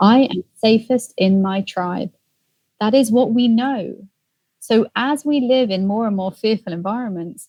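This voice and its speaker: A woman's fairly high, somewhat breathy voice with a dark, mellow tone, ordinary pitch variation, a British accent, and a dry, close sound with no echo. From England. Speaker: empathy expert and author. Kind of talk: interview answer.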